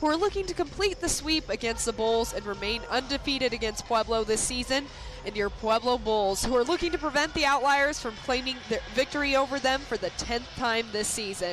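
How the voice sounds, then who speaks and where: A woman talks at a high pitch with hardly any pauses and lively intonation. Music plays in the background. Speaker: hockey play-by-play announcer. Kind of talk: live sports play-by-play commentary.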